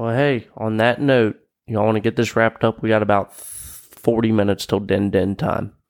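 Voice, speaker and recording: A man with an Appalachian accent speaks at a moderate pace in a medium pitch. The sound is dry and close, with no echo. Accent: Appalachian American English. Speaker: podcast host, army veteran. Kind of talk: casual chat. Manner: casual, profane.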